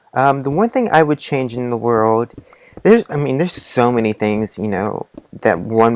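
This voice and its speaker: Very wide swings in pitch from a female speaker. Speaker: gaming YouTuber. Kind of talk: casual Q&A while gaming.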